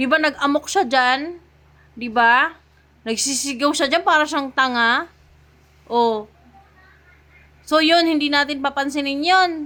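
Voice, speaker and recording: A woman projects her voice at a high pitch in a bright, sharp tone. She talks fairly slowly with ordinary pitch variation. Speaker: political commentator streamer. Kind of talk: ranting political commentary. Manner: loud, raised voice; animated.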